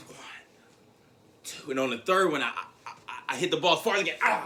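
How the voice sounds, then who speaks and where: Over noticeable background noise, a man speaks at a fairly quick pace with an animated tone and lively intonation. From Tennessee. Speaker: motivational speaker. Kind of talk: motivational speech.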